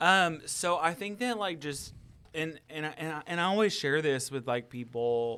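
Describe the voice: A man speaks at a moderate pace with a fairly high pitch, ordinary pitch variation, and a clear, smooth yet bright, sharp tone.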